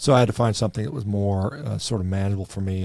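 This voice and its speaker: In a very clean recording with a silent background, a man talks very fast at a fairly low pitch in a dark, mellow tone. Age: 50s. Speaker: doctor. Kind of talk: interview.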